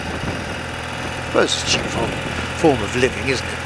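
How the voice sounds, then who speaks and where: A man speaks fairly slowly while noticeable background noise carries on underneath. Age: old. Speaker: motorcyclist vlogger. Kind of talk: casual talk to camera. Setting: outdoors, speaking on a motorbike.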